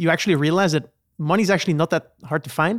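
A man speaks at a fairly quick pace with a fairly high pitch and ordinary pitch variation. The recording is very clean, with a silent background and a dry, close sound with no echo. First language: not English. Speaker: podcast host. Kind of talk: casual panel discussion.

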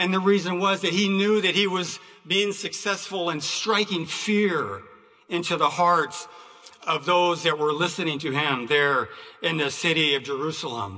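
A man speaks with a high pitch and ordinary pitch variation. Noticeable background noise and audible room echo are present. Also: moderate pace. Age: 60s. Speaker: preacher. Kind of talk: sermon. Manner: halting.

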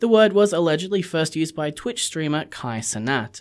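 Moderate pace in an Australian accent, over a very clean recording with a silent background. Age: 20s. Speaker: community radio host. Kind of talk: radio interview; scripted intro.

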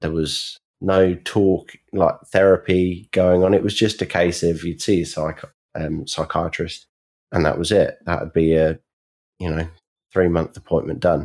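Delivered in a monotone, flat intonation, the words come at a fairly slow pace. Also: man, very deep, low pitch for a man, very clean recording, silent background. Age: 20s. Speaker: anti-bullying campaigner. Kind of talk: interview.

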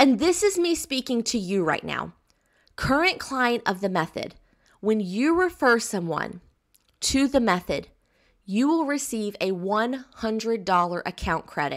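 Her pitch fairly high and swinging very widely, a woman with an American accent speaks at a fairly slow pace on a very clean recording with a silent background. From US South. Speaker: business coach. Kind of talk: recorded course lesson. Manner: enthusiastic.

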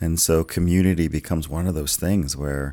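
On a very clean recording with a silent background, a man with an American accent speaks in a very deep, low pitch with monotone, flat intonation. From US South. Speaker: pastor. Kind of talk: casual chat. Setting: studio.

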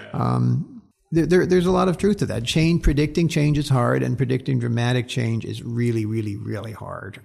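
This man speaks at a fairly quick pace with lively intonation. His voice is medium in pitch and somewhat breathy. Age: 60s. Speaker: social science professor. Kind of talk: interview. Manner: halting, many repeated words.

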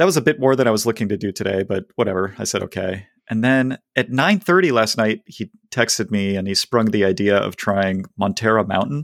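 A man's plain, everyday voice at a medium pitch and moderate pace, with a dry, close sound with no echo and a very clean recording, silent background. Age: 40s. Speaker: podcast host, runner. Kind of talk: casual chat.

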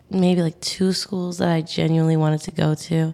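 On a very clean recording with a silent background, a woman speaks in an American accent. Her pitch is fairly low. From Staten Island, New York City. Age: young. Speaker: university student. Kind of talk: interview conversation. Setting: pop-up podcast studio. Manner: animated.

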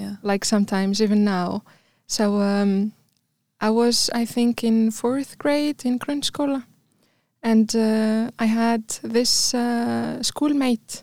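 A woman speaks in an Arabic accent at a fairly high pitch, with a dark, mellow tone and fairly even intonation. Her pace is very slow, and the sound is dry and close with no echo. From Tunisia. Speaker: immigrant guest. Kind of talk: casual chat.

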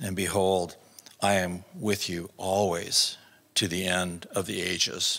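A man speaks slowly, low in pitch, with little pitch movement. His tone is fairly bright, with vocal fry and a slightly husky edge.

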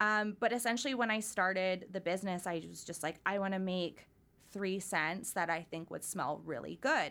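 A woman with a Canadian accent, a plain, everyday voice, medium pitch, ordinary pitch variation and a moderate pace. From Surrey, British Columbia, Canada. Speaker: candle business owner. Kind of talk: casual interview chat.

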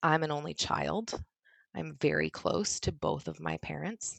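A woman's calm tone at a very slow pace. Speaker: ed tech leader, former higher education staff. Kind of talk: interview.

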